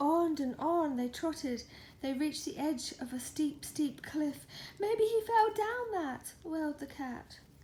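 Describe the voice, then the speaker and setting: Soft-spoken and high-pitched, a woman talks at a fairly slow pace with lively intonation and a dark, mellow tone. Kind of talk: children's picture book reading. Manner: soft, gentle, relaxing.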